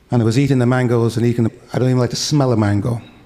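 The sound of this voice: A man speaks fast with a dark, mellow tone. His intonation stays fairly even.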